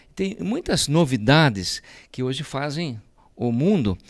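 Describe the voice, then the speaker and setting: The recording is very clean, with a silent background. The voice moves through very wide pitch swings. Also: man. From Brazil, Sorocaba (São Paulo state). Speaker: politician, mayor-elect. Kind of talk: interview.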